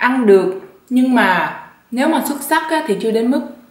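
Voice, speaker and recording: Speaking at a fairly quick pace, a woman with a high pitch uses lively intonation amid noticeable background noise and audible room echo. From southern Vietnam. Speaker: YouTuber. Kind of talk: mukbang vlog, casual chat. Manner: relaxed, eating while talking.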